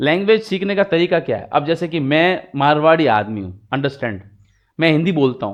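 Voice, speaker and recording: The voice belongs to a man. His pitch moves in an ordinary way. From Rajasthan, India (Marwari). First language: Marwari (speaking Hindi). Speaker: English teacher. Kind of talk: tutorial. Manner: code-switching Hindi and English.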